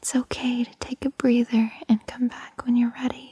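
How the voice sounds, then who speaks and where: A woman whispers at a very slow pace. The sound is dry and close, with no echo. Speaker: ASMR creator. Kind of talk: ASMR girlfriend roleplay. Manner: whispered.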